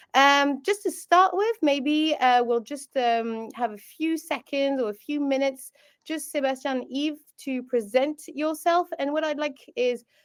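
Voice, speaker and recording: A woman with a British accent talks at a fairly slow pace. Her voice is high, with ordinary pitch variation. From France and England. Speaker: webinar host, customer success manager. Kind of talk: webinar moderation.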